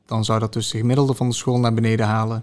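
A man speaks at a medium pitch. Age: 20s. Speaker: teacher. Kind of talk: interview. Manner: hesitant.

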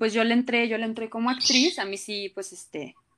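In an unremarkable speaking voice, a woman with a fairly high pitch talks at a moderate pace with lively intonation. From Colombia. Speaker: actress. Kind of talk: casual interview chat.

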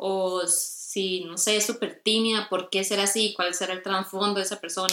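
A woman's monotone voice at a medium pitch, with flat intonation and a moderate pace. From Costa Rica. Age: 20s. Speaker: graphic design student. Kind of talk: casual interview.

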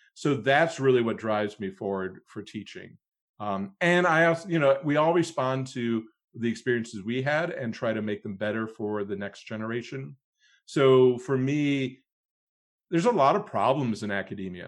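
An unremarkable speaking voice from a man with an American accent, medium pitch, lively intonation and a moderate pace, against a quiet background. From US Midwest, Cleveland, Ohio. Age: 40s. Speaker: stage manager and professor. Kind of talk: interview conversation.

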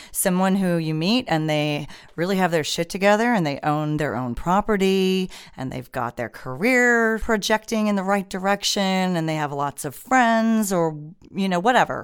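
With an American accent, a plain, everyday voice comes through in a very clean recording with a silent background. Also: woman, medium pitch for a woman, lively intonation, moderate pace. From United States. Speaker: podcast co-host. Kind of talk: casual chat.

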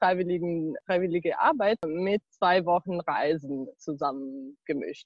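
Medium pitch and lively intonation from a woman. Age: 20s. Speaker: university student and former volunteer. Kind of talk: interview. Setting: video call, outdoors in garden. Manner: hesitant, many fillers.

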